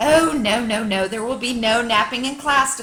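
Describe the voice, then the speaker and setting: Using a put-on character voice, a woman speaks high in pitch at a moderate pace. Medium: read story. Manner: chirpy, sing-song, enthusiastic.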